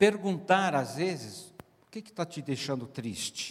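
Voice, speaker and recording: Male speech of moderate speed, swinging very widely in pitch. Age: 70s. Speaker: pastor, speaker on marriage. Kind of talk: sermon.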